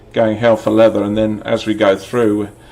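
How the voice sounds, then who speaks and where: A man speaks with monotone, flat intonation. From London, England. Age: 60s. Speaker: football fan vlogger. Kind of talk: casual monologue. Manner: halting, many fillers.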